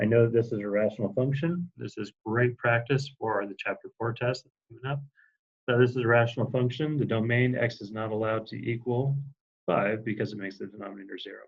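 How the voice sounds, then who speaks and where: A man's somewhat breathy voice, fairly quick in pace, with fairly even intonation. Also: medium pitch for a man, big swings in loudness. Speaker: high school math teacher. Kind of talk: recorded lecture. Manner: fast; hesitant, many fillers.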